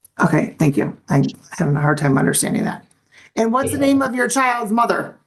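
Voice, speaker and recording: Delivered at a fairly quick pace, the speech has vocal fry, very wide pitch swings and very even loudness. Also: woman, fairly high pitch for a woman. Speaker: judge. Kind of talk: court hearing. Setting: courtroom. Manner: fast; formal.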